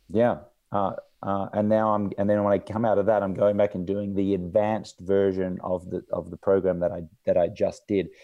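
A man talks at a moderate pace with an Australian accent. His intonation is monotone and flat. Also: fairly low pitch for a man. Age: 40s. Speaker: entrepreneur and podcast host. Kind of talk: casual interview chat.

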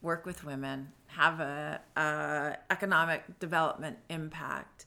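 Speaking with an American accent, a woman has a very deep, low pitch, a bright, sharp tone and vocal fry. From San Diego, California. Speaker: founder of an online gift company. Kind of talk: interview. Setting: at her home.

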